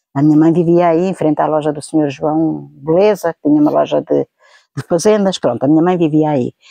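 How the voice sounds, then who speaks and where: A woman speaks at a fairly quick pace with a very deep, low pitch and fairly even intonation. Her tone is dark and mellow, and the sound is dry and close with no echo. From central Portugal, Vieira de Leiria. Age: 70s. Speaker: eyewitness interviewee. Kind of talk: oral history interview. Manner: halting, with self-corrections.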